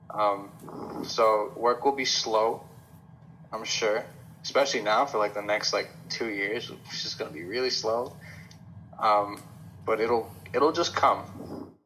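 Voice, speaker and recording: A man at medium pitch with ordinary pitch variation, a fairly slow pace and long, frequent pauses. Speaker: film student. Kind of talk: interview answer.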